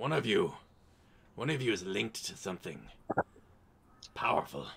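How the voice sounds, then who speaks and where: A man does a put-on character voice that sounds raspy. He keeps a medium pitch and a moderate pace. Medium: actual play. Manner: scheming, possessive.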